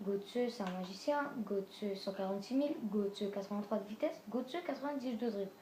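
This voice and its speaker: A woman's voice at a moderate pace with ordinary pitch variation over noticeable background noise. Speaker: gaming youtuber. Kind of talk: video game team presentation. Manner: halting.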